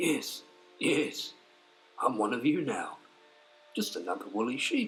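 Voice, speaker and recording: Fairly slow and fairly high in pitch, a put-on character voice from a man. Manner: mocking.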